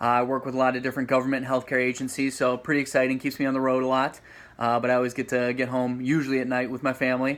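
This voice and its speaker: A man talks very fast in a flat monotone, his medium pitch carrying a Midwestern American accent. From Ohio, Toledo. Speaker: sales manager, home buyer. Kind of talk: casual interview chat.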